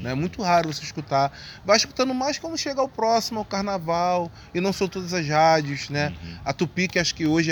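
A man with a plain, everyday voice speaks. His intonation is lively and his pace moderate. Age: 30s. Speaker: samba composer and carnival art director. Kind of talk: casual interview.

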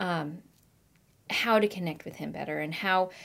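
Someone with a Pacific Northwest accent speaks at a moderate pace on a very clean recording with a silent background. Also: woman. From US Pacific Northwest (Marysville, Washington). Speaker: children's ministry director. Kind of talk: casual interview.

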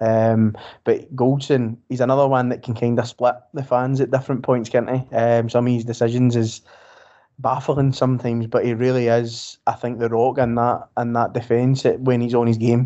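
In a west of Scotland accent, a man speaks at a moderate pace and medium pitch with monotone, flat intonation. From Scotland, Greenock, Inverclyde. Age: 30s. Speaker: football fan podcaster. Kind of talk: casual chat.

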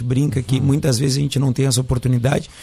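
A man's somewhat breathy, dark, mellow voice in a monotone, flat intonation. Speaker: surf school instructor. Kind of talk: radio interview.

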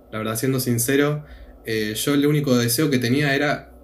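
Noticeable background noise sits behind a man of medium pitch who talks at a moderate pace with fairly even intonation. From Argentina. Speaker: returned missionary, student. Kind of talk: casual chat.

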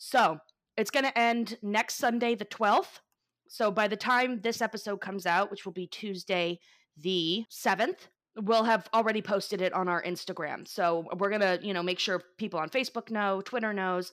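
An unremarkable speaking voice from a woman with an American accent, medium in pitch with ordinary variation, at a moderate pace. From Florida. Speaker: podcast co-host. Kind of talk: storytelling; casual chat.

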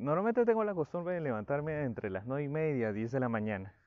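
A man with a fairly high voice. His pitch swings very widely. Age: 20s. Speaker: psychologist. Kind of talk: solo podcast talk. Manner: hesitant with fillers.

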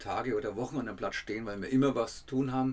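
A man speaks very fast with a Franconian accent. His pitch is medium and his intonation fairly even. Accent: Franconian dialect, rolled R and soft D. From Franconia, Germany. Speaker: travel writer and podcaster. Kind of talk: casual travel storytelling.

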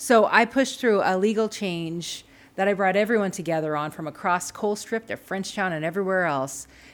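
A woman with a normal speaking voice talks at a fairly quick pace, at a medium pitch with ordinary pitch variation. The recording is very clean, with a silent background. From Montana (Frenchtown). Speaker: political candidate. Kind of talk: interview. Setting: studio.

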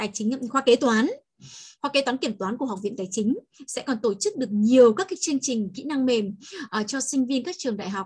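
A woman with a high pitch speaks at a fairly quick pace with lively intonation. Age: 40s. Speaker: accounting lecturer and trainer. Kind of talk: online talk to students. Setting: video call.

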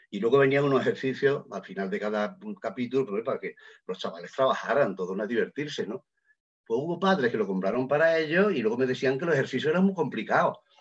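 Talking at a very fast pace, a man uses very wide pitch swings. His pitch sits in the medium range. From Andalusia, Lucena (Córdoba). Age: 70s. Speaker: novelist and retired Latin teacher. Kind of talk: casual interview.

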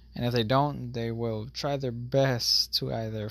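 A fairly slow delivery on a very clean recording with a silent background. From Florida and St. Croix, U.S. Virgin Islands. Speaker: podcast host. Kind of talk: casual solo monologue. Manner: laughs often.

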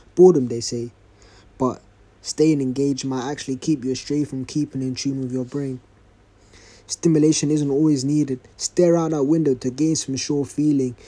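A man talks in a flat monotone, his voice fairly high in pitch yet dark and mellow in tone. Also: moderate pace. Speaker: podcast host and spoken word poet. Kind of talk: spoken word poetry read from a notebook, after a casual intro. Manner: rhythmic, rhyming poetic delivery, reflective; casual, slightly hesitant intro with fillers.

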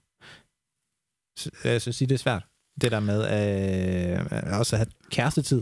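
This man speaks at a fairly low pitch with ordinary pitch variation and long, frequent pauses. The recording is very clean, with a silent background. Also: fairly slow pace. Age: 20s. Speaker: podcast host. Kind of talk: casual chat. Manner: calm.

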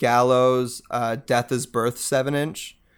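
A man with a Canadian accent at a medium pitch, fairly slow and monotone, flat in intonation, on a very clean recording with a silent background. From Canada, Mississauga, Ontario. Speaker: post-hardcore band vocalist. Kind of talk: casual interview chat.

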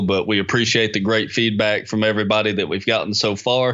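With a normal speaking voice, a man talks at a fairly quick pace, his pitch fairly low and his intonation fairly even. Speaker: podcast co-host. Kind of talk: casual interview chat.

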